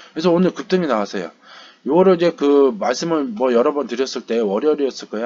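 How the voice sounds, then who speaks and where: Talking at a very fast pace, a man lets his pitch swing very widely. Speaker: stock market YouTuber. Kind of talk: market recap commentary. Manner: hesitant, many fillers.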